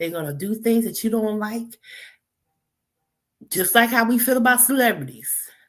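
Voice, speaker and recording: A woman's fairly high, somewhat breathy voice with an animated tone, lively intonation and long, frequent pauses. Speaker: live streamer. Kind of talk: casual live stream talk. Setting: live stream from a laptop at boyfriend's house.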